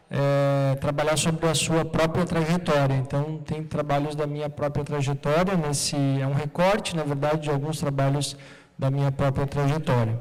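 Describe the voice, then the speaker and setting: A fairly high-pitched man with a southern Brazilian accent, monotone and flat, at a moderate pace with hardly any pauses. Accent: Porto Alegre (gaúcho). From southern Brazil, Porto Alegre. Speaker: artist and researcher giving a talk. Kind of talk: talk at an art event, partly reading aloud.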